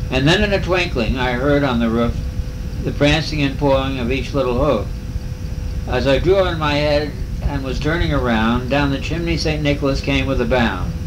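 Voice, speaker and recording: A man with an American accent at a moderate pace, against noticeable background noise. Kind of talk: poetry reading. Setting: motel room, home recording.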